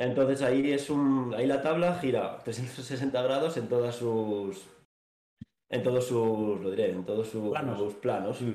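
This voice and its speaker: Fairly slow speech from a man at medium pitch, with ordinary pitch variation and audible room echo. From Asturias, Spain (Navia). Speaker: author and former student sharing mental health experience. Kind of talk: casual interview, personal testimony.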